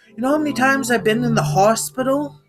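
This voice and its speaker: Music plays in the background as a woman speaks at a high pitch. Her intonation is lively. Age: 30s. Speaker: vlogger sharing mental health story. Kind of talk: personal vlog monologue. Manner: animated.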